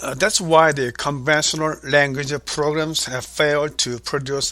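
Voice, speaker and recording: In a Korean accent, a man talks at a fairly slow pace with a fairly high pitch and ordinary pitch variation. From South Korea. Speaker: author and language educator. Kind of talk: interview. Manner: formal.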